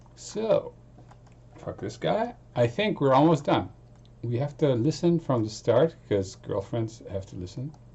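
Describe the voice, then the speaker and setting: Noticeable background noise sits behind a man talking at a fairly slow pace and a medium pitch. His pitch swings very widely, and his loudness rises and falls a lot. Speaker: music producer streaming. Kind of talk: casual live stream chat. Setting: home studio live stream. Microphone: distorted sound, voice too loud.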